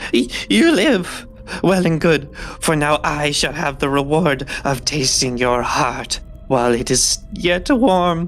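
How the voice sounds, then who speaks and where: A put-on character voice, nasal and menacing, at a middle pitch and a fairly slow pace. Clear music plays in the background. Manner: gleeful, menacing.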